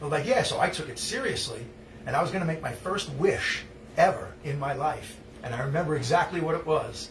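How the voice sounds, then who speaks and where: Over noticeable background noise and audible room echo, a man talks at a fairly high pitch and a moderate pace with ordinary pitch variation. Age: 60s. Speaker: musician hosting a live stream. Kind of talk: casual chat. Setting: live stream. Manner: halting.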